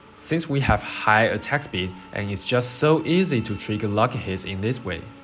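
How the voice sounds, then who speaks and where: A man at a medium pitch and moderate pace, lively in intonation, with music in the background. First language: not English. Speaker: game guide creator. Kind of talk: game build tutorial.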